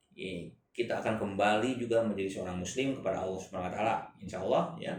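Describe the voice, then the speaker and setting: Echo from the room can be heard around a man's speech. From Indonesia. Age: 50s. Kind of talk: religious talk show interview.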